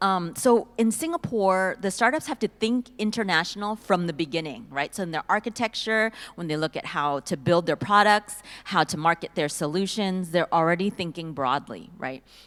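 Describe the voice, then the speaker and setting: Speaking in an American accent, a woman with an ordinary speaking voice and medium pitch uses lively intonation at a moderate pace. She leaves hardly any pauses, and the sound is dry and close with no echo. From US, Silicon Valley, California. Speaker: panelist. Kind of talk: panel discussion.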